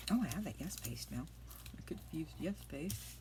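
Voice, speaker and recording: With audible room echo, a soft-spoken woman talks at a moderate pace. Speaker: craft youtuber. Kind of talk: crafting tutorial. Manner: casual chatty. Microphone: iPad mic, quiet.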